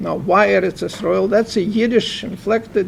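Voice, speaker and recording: A man speaks with a Russian accent at a high pitch. His pace is moderate. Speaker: professor and author. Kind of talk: book launch Q&A interview.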